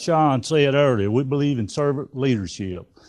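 A man with a north Georgia accent, medium in pitch with a dark, mellow tone, lively intonation and a fairly slow pace, over a quiet background. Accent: Southern US (north Georgia). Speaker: sheriff. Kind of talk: candidate forum speech. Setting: community room with audience.

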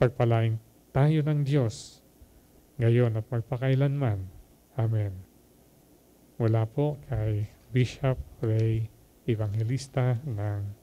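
His tone dark and mellow and somewhat breathy, a man speaks at a very slow pace with long, frequent pauses. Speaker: homilist. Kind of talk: homily. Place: hall. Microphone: handheld.

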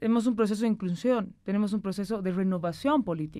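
Over a quiet background, a woman speaks at a fairly quick pace in a fairly high pitch with ordinary pitch variation. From Bolivia, Cochabamba; Bolivia. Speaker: senator. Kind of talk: political interview. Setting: studio. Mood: serious, explanatory. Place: studio. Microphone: studio mic.

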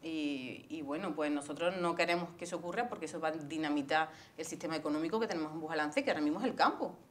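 A woman's very deep, low voice, very fast with hardly any pauses and ordinary pitch variation. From Andalusia, Spain (Córdoba province). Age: 40s. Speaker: local political candidate. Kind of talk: interview. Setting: studio. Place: studio. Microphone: lapel.

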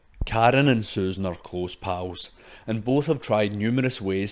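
In a fairly low pitch, a man speaks at a fairly slow pace with ordinary pitch variation. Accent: Scottish. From Scotland. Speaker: podcast host. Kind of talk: scripted narration.

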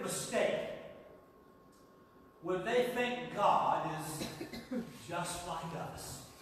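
Strong room echo and light background noise surround a man speaking at a high pitch. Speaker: preacher. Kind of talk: live Sunday sermon to a congregation. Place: church.

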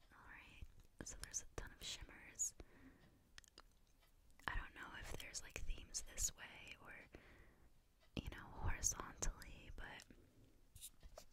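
A woman whispers with long, frequent pauses, keeping a fairly slow pace. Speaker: ASMR content creator. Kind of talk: ASMR unboxing, casual talk to camera. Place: home room. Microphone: studio mic.

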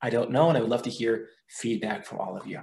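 A man with an Israeli accent. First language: Hebrew. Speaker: research fellow and teacher; teacher. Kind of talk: lecture. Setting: video call. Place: home room. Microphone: webcam.

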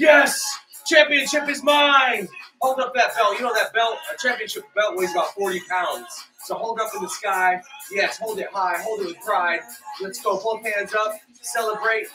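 With clear music playing behind him, a man delivers a raised, projected voice at a moderate pace. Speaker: fitness coach. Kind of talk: workout instruction. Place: home room. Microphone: camera far.

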